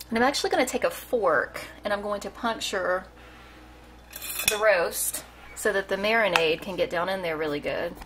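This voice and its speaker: Over noticeable background noise, a woman of medium pitch talks at a moderate pace with ordinary pitch variation and long, frequent pauses. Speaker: cooking vlogger. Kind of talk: cooking tutorial. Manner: halting, stumbling over words; casual, chatty.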